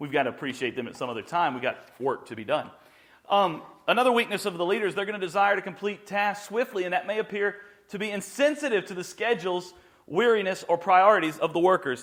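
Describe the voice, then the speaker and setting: A man talking very fast with high pitch for a man, lively intonation, an animated tone and big swings in loudness. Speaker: pastor. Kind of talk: teaching.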